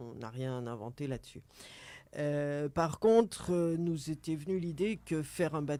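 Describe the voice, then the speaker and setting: Fairly slow male speech, fairly high in pitch, dark and mellow in tone, with ordinary pitch variation. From northern France, Seine valley. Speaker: member of a local boating association. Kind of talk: radio interview. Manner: halting, many repetitions.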